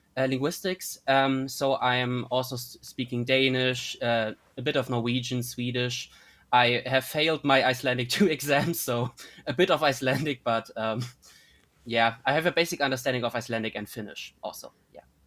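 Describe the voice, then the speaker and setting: Recorded very cleanly against a silent background, a man with a German accent speaks at a moderate pace. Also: medium pitch for a man, fairly even intonation. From northern Germany (North Frisia). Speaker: linguistics student. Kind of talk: casual interview. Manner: halting, many fillers.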